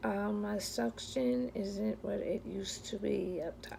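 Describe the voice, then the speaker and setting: A woman talks at a very slow pace. Noticeable background noise sits behind her. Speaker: vlogger sharing denture experience. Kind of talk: personal vlog. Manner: slurred speech; hesitant, many fillers.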